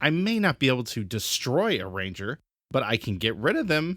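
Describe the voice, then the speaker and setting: A man's put-on character voice at a medium pitch and moderate pace, with very wide pitch swings, on a very clean recording with a silent background. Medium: read story.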